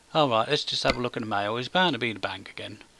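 A man speaks with a British accent and lively intonation. There is noticeable background noise. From Britain. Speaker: gaming YouTuber. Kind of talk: gameplay commentary. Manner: rambling with many fillers.

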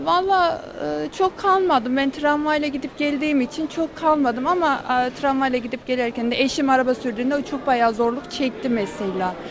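With lively intonation and a high pitch, a woman speaks at a moderate pace, the sound dry with no echo and noticeable background noise behind her. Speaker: street interviewee. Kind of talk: street interview. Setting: outdoors. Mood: chatty, complaining about bills. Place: street. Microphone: handheld.

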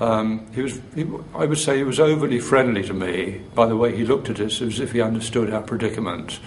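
Noticeable background noise sits behind the speaker. A man talks at medium pitch and a moderate pace with fairly even intonation. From Chesterfield, England. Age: 60s. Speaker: retired teacher, activist. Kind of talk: interview answer.

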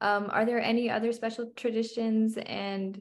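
A woman speaks with a fairly high pitch. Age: young. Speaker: student intern interviewer. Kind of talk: oral history interview. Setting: video call. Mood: friendly, polite, smiling. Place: home room. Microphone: video call.

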